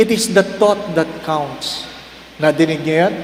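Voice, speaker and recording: Lively intonation carries the fairly slow speech, recorded with audible room echo and noticeable background noise. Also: man. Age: 60s. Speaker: priest. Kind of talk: sermon. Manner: animated.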